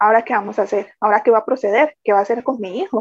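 This is an unremarkable speaking voice from a woman, pitched fairly high with ordinary pitch variation. The sound is dry and close, with no echo. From Costa Rica, San José. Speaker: bereaved mother. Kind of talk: testimony.

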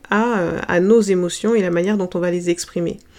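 This is a woman with an unremarkable speaking voice. Her medium pitch shows ordinary variation, and her pace is moderate. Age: 30s. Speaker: holistic wellness coach and podcast host. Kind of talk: solo podcast monologue.

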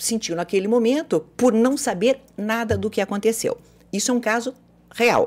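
On a very clean recording with a silent background, a woman uses an ordinary speaking voice with a fairly high pitch, lively intonation and a moderate pace. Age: 50s. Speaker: psychologist and former radio host. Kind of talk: casual chat.

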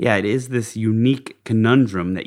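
Here a man with an unremarkable speaking voice talks at a moderate pace with ordinary pitch variation. The recording is very clean and the background silent. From Park City, Utah. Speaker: podcast host. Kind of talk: interview conversation.

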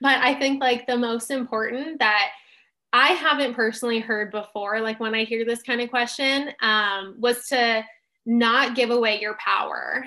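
With a normal speaking voice, a woman with an American accent talks at a moderate pace and a fairly high pitch. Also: fairly even intonation, quiet background. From Southern California. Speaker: nutrition graduate, dietetic intern, social media creator. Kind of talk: interview, personal testimony.

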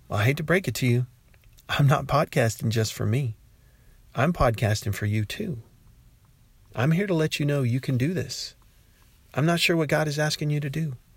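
Over a silent background in a very clean recording, a man with a fairly high pitch speaks at a moderate pace, somewhat breathy, with ordinary pitch variation and long, frequent pauses. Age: 50s. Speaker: podcaster and teacher. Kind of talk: casual devotional monologue.

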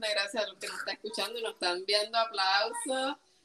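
A woman speaks at a fairly high pitch. She has a Puerto Rican accent. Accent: Puerto Rican, particular and pleasant. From Puerto Rico. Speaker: podcast co-host. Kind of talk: casual chat.

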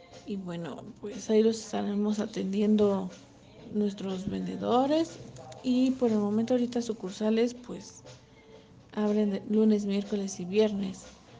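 A speaker with a Mexican accent goes at a fairly slow pace, with music in the background. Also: woman. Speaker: cosmetics business representative. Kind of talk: interview answers.

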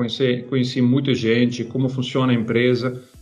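Medium-pitched male speech with a Dutch accent against noticeable background noise. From Netherlands. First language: Dutch (speaking Portuguese). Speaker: corporate innovation leader. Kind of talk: interview. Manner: hesitant, with fillers.

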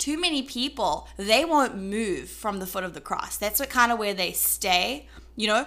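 Speaking in a South African accent at a moderate pace, a woman's fairly high, bright and sharp voice shows vocal fry and very wide pitch swings. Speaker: podcast co-host. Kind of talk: faith-based casual discussion.

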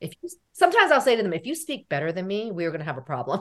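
A woman with an American accent talks at a very fast pace. Her fairly high voice has vocal fry and very wide pitch swings. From United States. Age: 40s. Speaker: therapist. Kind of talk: interview.

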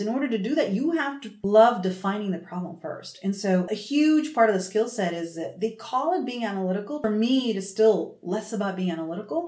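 A woman with an American accent talks at a fairly high pitch, her tone animated and her intonation lively. She keeps a moderate pace over noticeable background noise. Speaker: marketing executive. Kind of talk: interview.

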